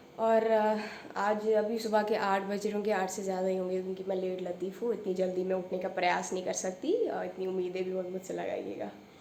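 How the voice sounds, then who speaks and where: A woman speaks in a monotone with flat intonation, with audible room echo and noticeable background noise. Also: medium pitch for a woman, moderate pace. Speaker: vlogger. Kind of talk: casual vlog talk. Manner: code-switching Hindi-English with many fillers.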